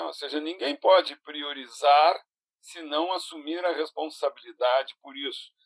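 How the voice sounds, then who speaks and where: A man talks in a fairly high register, and the sound is dry and close with no echo. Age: 60s. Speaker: productivity consultant and speaker. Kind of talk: interactive online lecture. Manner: halting, with many fillers and restarts.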